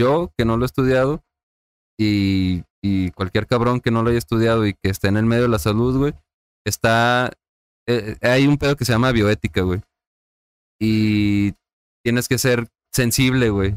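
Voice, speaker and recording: With a medium pitch and ordinary pitch variation, a man speaks at a fairly slow pace with long, frequent pauses and very even loudness, in a dry, close sound with no echo. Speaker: hospital worker. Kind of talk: casual chat.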